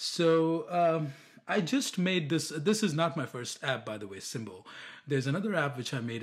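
Lively in intonation, a man's voice comes across somewhat breathy. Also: very clean recording, silent background. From India. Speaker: app developer. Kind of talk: casual interview. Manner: halting, many fillers and restarts.

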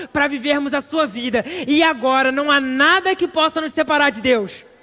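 A man projects a raised voice at an extremely high pitch, keeping a moderate pace and ordinary pitch variation. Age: 20s. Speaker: preacher. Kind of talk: sermon. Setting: church.

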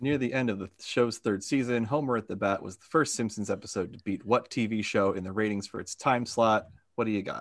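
With hardly any pauses, a man talks at a fairly quick pace in a normal speaking voice of medium pitch and ordinary pitch variation. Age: 30s. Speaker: podcast host running a trivia game. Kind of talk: trivia quiz hosting. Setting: video call.

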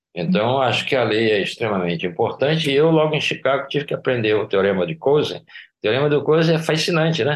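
Against a quiet background, a man with vocal fry and a fairly high pitch talks at a fairly quick pace with lively intonation and hardly any pauses. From Brazilian Northeast (Recife, Paraíba). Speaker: economics professor. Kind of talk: interview.

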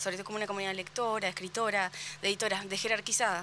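Speaking at a very fast pace, a woman uses a medium pitch and a bright, sharp tone. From Argentina, Carmen de Patagones. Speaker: book fair organizer. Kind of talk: casual chat. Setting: radio studio.

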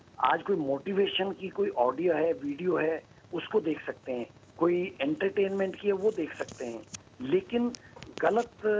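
A man's high-pitched voice with lively intonation, over noticeable background noise. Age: 50s. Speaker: blogger and motivational speaker. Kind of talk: interview giving advice to children.

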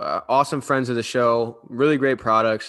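A man talks at medium pitch and a fairly quick pace, with ordinary pitch variation and a bright, sharp tone. The recording is very clean, with a silent background. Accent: American. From Cleveland, Ohio. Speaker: podcast co-host. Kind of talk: ad read; casual sports chat.

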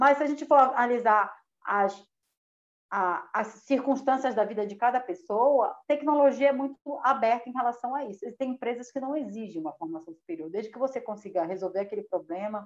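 A woman's high, animated voice with lively intonation at a fairly quick pace. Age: 40s. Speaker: software engineer and tech community founder. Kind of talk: casual chat.

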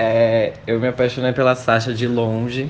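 Pitched in a medium range, this man's voice stays monotone and flat throughout. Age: 20s. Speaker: civil servant. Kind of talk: interview.

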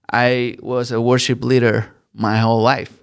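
A man with a Spanish accent speaks at a medium pitch in a very clean recording with a silent background. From Colombia. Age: 30s. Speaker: worship leader. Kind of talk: interview, personal testimony.

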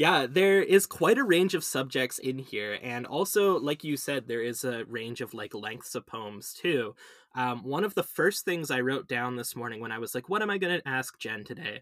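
A man with medium pitch talks at a moderate pace with hardly any pauses and lively intonation. He has an unremarkable speaking voice. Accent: Canadian. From Canada. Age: 20s. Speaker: podcast host. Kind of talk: casual interview.

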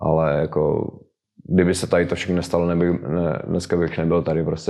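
A man speaks in a very deep, low pitch with a dark, mellow tone. His pace is moderate and his intonation monotone and flat. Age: 30s. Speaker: professional footballer. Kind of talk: interview. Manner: halting.

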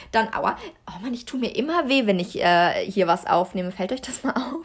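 The recording is very clean with a silent background. A woman with an unremarkable speaking voice talks at a moderate pace in a fairly high pitch, with lively intonation. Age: 20s. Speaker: podcast co-host. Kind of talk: casual monologue from notes.

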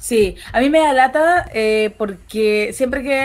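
A woman's high-pitched voice at a very slow pace. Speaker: podcast co-host. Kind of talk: casual chat.

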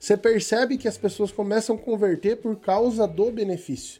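The man's voice is high in pitch, with a dark, mellow tone and ordinary pitch variation. The recording is very clean, with a silent background. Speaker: digital marketing agency owner. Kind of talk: live stream chat. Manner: occasional coughing.

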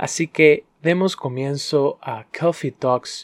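The recording is very clean and the background silent. A man's voice sounds dry and close, with no echo. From Honduras. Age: 20s. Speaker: podcast host and barista. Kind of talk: solo podcast storytelling. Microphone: professional microphone.

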